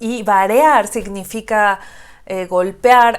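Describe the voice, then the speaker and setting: Captured on a very clean recording with a silent background, a woman speaks in a fairly high pitch with fairly even intonation. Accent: Mexican. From Xalapa, Veracruz, Mexico. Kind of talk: casual reaction video talk to camera.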